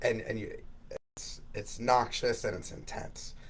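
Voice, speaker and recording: There is audible room echo around this man's voice. He talks at a moderate pace. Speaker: physical therapist. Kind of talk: interview.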